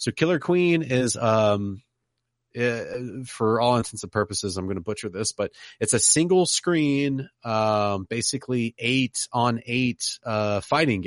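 A man with a normal speaking voice at medium pitch, lively intonation, a dry, close sound with no echo and a quiet background. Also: fairly slow pace. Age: 30s. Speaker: podcaster and Twitch streamer. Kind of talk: casual chat.

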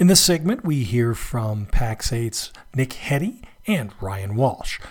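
Somewhat breathy and at medium pitch, a man speaks with lively intonation. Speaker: podcast host. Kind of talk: podcast intro and interview.

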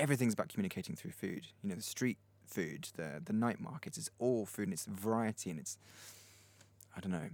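A man talks at a fairly quick pace with vocal fry. His fairly low pitch swings very widely. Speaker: podcast host, musician. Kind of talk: casual chat. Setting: home recording studio.

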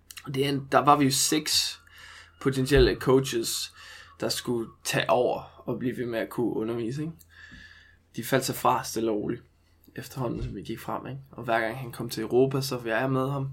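At a moderate pace, a man in a normal speaking voice talks at medium pitch with fairly even intonation. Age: 20s. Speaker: movement coach. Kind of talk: casual chat.

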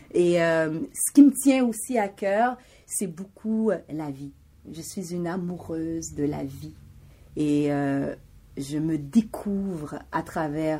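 A very deep, low woman's voice, dark and mellow, at a very slow pace with lively intonation and big swings in loudness, in a very clean recording with a silent background. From Montreal, Quebec (Haitian family). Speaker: graphic designer and media host. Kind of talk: interview. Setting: in her shop studio.

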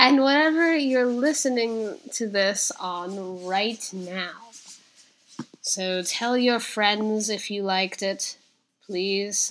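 Speaking very slowly, a woman uses a fairly high pitch. Her pitch varies in an ordinary way. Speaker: podcast host. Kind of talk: podcast intro and outro.

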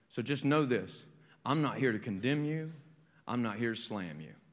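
In a room with audible echo, a man talks at a moderate pace and medium pitch, his intonation lively. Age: 40s. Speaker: pastor. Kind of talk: sermon. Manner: animated.

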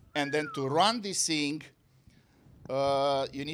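A man speaks in a fairly high voice with a Romanian accent. He keeps a moderate pace. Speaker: physics professor.

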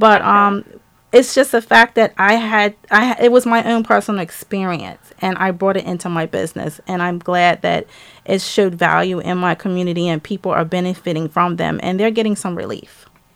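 A woman talks in a plain, everyday voice at medium pitch, with ordinary pitch variation. Her pace is moderate, and the recording is very clean with a silent background. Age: 50s. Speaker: small business owner. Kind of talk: interview. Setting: studio.

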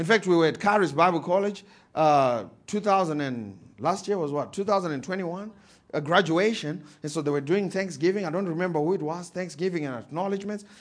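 With a Zimbabwean accent, the voice moves at a fairly quick pace with ordinary pitch variation. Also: man, high pitch for a man. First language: Shona. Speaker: pastor. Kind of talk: sermon. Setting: church. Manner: animated.

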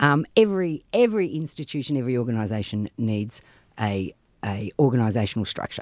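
A man with an Australian accent talks at a fairly quick pace in a medium pitch, his intonation lively, on a very clean recording with a silent background and a dry, close sound with no echo. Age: 50s. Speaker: politician. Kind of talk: casual chat.

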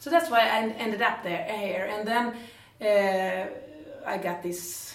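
A woman's very slow speech with ordinary pitch variation over noticeable background noise. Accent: Swedish. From northern Sweden, Jämtland. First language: Swedish. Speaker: musical theatre actress. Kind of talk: casual interview. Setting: theatre. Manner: halting.

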